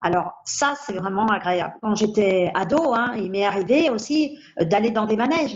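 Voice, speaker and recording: Her intonation rises and falls in a lively way. The woman keeps a moderate pace. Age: 60s. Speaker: patient with a rare bone disease. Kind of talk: testimony. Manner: hesitant, with fillers.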